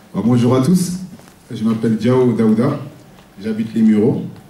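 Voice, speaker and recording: Audible room echo hangs around a man's voice, which sits at a medium pitch. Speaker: social worker. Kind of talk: public speech. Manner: halting.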